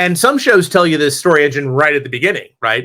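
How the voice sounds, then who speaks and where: The man's words come out at a very fast pace. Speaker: comics writer. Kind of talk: lecture. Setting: stage with audience.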